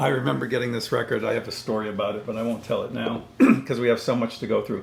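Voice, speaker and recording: A man talks at a very fast pace in a medium pitch. Audible room echo surrounds his voice. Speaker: record collector video host. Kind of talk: casual chat.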